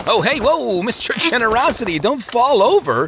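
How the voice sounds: A put-on character voice at a moderate pace, fairly bright in tone with big pitch swings and faint background noise. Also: man, extremely high pitch for a man.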